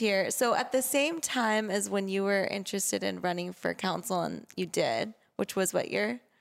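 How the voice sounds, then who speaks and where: A woman with a normal speaking voice and an American accent, medium in pitch, at a moderate pace on a very clean recording with a silent background. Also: very even loudness. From Laguna Beach, California. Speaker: podcast host. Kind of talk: interview.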